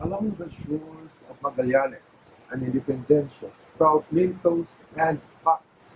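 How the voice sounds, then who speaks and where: A man talks at a very slow pace, somewhat breathy, with ordinary pitch variation. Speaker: poet. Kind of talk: poetry reading.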